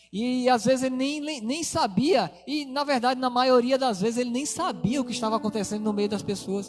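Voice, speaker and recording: A man's lively intonation and fairly quick delivery carry over music playing in the background. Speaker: preacher. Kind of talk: sermon. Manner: fast.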